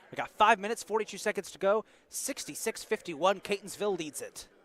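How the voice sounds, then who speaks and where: Behind a man's high voice is noticeable background noise. He speaks very fast with ordinary pitch variation. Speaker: basketball play-by-play commentator. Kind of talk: live commentary. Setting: college gym broadcast. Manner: animated.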